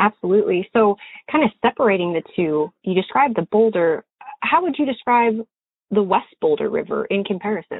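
A normal speaking voice with an American accent, lively intonation and a fairly quick pace. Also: woman, fairly high pitch for a woman. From Montana. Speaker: podcast host and fishing guide. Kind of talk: interview; scripted narration.

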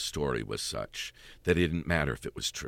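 A man's very deep, low voice with vocal fry. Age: 50s. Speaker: stage actor. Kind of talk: interview. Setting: studio.

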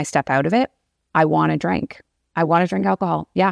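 Very deep, low-pitched woman's voice with vocal fry and very wide pitch swings, on a very clean, dry, close recording with a silent background and no echo. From Canada. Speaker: podcast host. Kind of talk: casual interview. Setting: in person.

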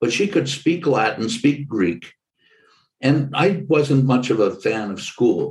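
Fairly high-pitched with vocal fry, a man speaks at a very slow pace. His pitch swings very widely. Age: 70s. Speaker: podcast host. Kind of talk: interview conversation.

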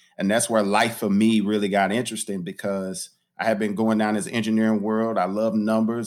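The recording is very clean with a silent background. A man with a St. Louis accent and medium pitch talks at a moderate pace with fairly even intonation. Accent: St. Louis American English. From US Midwest, St. Louis (North County). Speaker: pastor and community development leader. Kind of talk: interview conversation.

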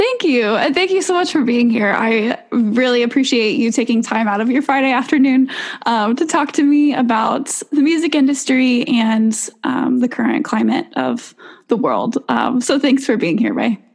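A woman speaks at a moderate pace in a high voice with ordinary pitch variation and very even loudness, over noticeable background noise. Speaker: podcast host. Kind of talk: interview.

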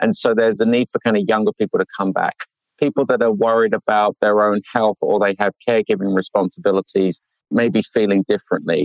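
A man talking at a very fast pace, very even in loudness, with a dry, close sound and no echo. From UK, with Indian roots. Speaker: business consultant. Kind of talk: interview.

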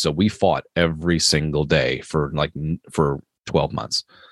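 A man's very deep, low voice with vocal fry, an American accent and fairly even intonation, in a dry, close sound with no echo. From Maryland, US East Coast. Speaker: police officer and horror author. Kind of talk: interview conversation. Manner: halting, many fillers.

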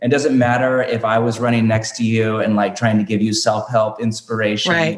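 This man has a plain, everyday voice, medium pitch, ordinary pitch variation and a moderate pace. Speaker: pastor and author. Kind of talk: casual interview conversation.

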